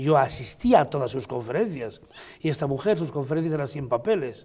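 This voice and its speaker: Somewhat breathy and dark, mellow in tone, a man's fairly high voice moves at a fairly quick pace with lively intonation. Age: 60s. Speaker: painter, writer and amateur Egyptologist. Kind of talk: TV interview.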